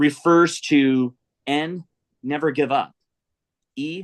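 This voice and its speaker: A man speaks with a fairly high pitch and ordinary pitch variation. The sound is dry and close, with no echo. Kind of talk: casual interview chat. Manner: halting, repeats words.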